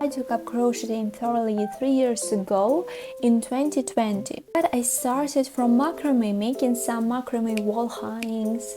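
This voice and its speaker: A fairly high-pitched woman with a Russian accent, ordinary pitch variation and a fairly slow pace, hardly any pauses, over noticeable background noise. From Ukraine, Donetsk. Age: 20s. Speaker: crochet content creator. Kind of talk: casual Q&A vlog.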